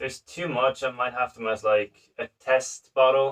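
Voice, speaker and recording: A man at medium pitch and moderate pace, with a dry, close sound and no echo. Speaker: home brewer streaming live. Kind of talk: casual livestream tutorial while bottling beer. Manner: loud. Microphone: phone microphone.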